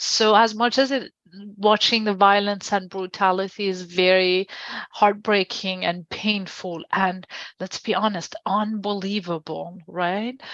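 A woman in a Persian accent speaks at a medium pitch and a fairly slow pace. Her intonation is fairly even, and the sound is dry and close with no echo. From Iran. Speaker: journalist and press freedom researcher. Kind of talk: interview.

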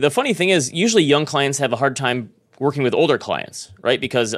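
A man's unremarkable speaking voice, fairly quick, with lively intonation. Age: 40s. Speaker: finance podcast host. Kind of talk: casual chat.

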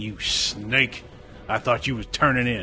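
A man's hissing, put-on character voice at medium pitch, with clear music in the background. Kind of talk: rough, casual, dialect grammar.

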